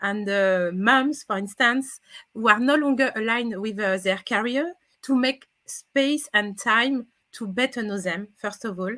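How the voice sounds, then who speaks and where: A woman's bright, sharp voice in a French accent, fairly high in pitch, with ordinary pitch variation and a fairly slow pace. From France. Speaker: career coach. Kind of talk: interview. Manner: halting.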